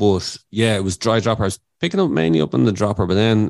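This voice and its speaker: Against a quiet background, a man with an Irish accent speaks fairly quickly with ordinary pitch variation, the sound dry and close with no echo. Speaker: podcast host. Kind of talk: casual chat.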